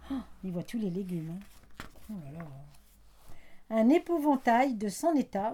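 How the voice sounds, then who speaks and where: The woman has a fairly high pitch and a dark, mellow tone that is somewhat breathy. Her intonation is lively. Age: 70s. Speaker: grandmother, retired factory seamstress and childminder. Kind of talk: family interview, life story recollection.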